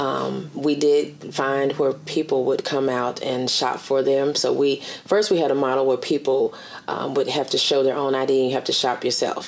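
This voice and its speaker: In an American accent, a woman with a very deep, low pitch talks at a moderate pace in a flat monotone, keeping her loudness very even. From Virginia. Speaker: director of a transitional jobs program; interviewee. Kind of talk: oral history interview. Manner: halting, many fillers. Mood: calm, reflective. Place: home room.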